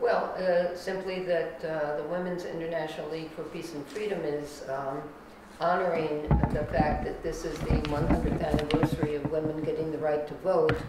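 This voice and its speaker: Loud background noise and audible room echo fill the clip. A woman speaks at a moderate pace. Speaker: discussion panelist. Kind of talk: panel discussion. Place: meeting room.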